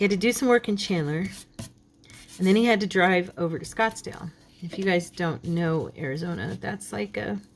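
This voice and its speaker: A woman in an unremarkable speaking voice talks at a moderate pace and fairly low pitch, her intonation lively. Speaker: crafting youtuber. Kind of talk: casual chat during craft tutorial. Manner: chatty.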